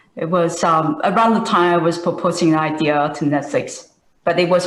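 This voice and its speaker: With a fairly low pitch, a woman speaks at a fairly slow pace amid audible room echo. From Taiwan. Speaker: software engineer, alumna speaker. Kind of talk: panel discussion. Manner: halting.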